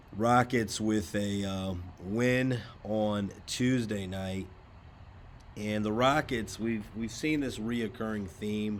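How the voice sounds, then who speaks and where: Audible room echo surrounds a man's fairly low voice. He speaks very slowly with fairly even intonation. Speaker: sports news YouTuber. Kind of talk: casual commentary monologue. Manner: many fillers (uh, um).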